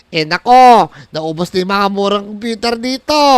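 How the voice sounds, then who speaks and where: A put-on character voice at a moderate pace. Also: man, high pitch for a man. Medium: machinima.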